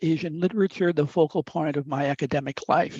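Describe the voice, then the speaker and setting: The speaker has an Upper Midwest accent. The pace is fairly quick. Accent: upper Midwest American. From US Midwest. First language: Italian. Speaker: professor. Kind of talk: lecture. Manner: halting.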